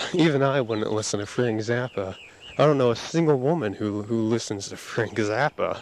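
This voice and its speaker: Ordinary pitch variation at a moderate pace, against noticeable background noise. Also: man. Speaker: audio diarist. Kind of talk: casual monologue. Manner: halting, many repetitions.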